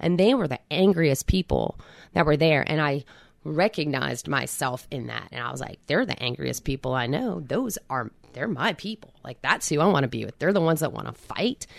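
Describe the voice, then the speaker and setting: A woman's very deep, low voice with vocal fry and an American accent, lively intonation, big swings in loudness, a moderate pace, and a very clean recording with a silent background. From Philadelphia area, New Jersey side. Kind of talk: interview, personal testimony.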